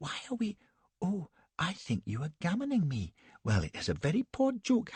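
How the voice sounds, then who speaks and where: A man puts on a shrill, high-pitched character voice with very wide pitch swings. He talks at a moderate pace. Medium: read story. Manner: shrill, petulant.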